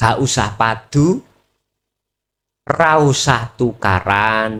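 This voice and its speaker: A man speaks at a very slow pace in a bright, sharp tone, with medium pitch and ordinary pitch variation. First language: Javanese (speaking Indonesian). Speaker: Islamic preacher. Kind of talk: religious lecture. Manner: casual, code-switching Javanese and Indonesian.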